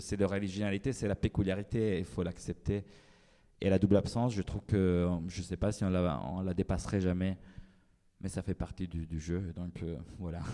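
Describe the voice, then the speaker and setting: The voice is a man's, pitched very deep and low. It has a dark, mellow tone. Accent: Italian. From Italy. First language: Italian (speaking French). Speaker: writer. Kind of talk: panel discussion. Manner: halting.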